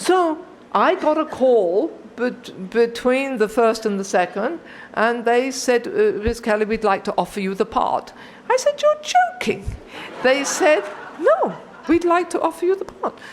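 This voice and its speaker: A woman with a British accent, high pitch, very wide pitch swings, fairly slow pace, noticeable background noise. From Britain. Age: 60s. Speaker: recovering alcoholic speaker. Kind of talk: testimony.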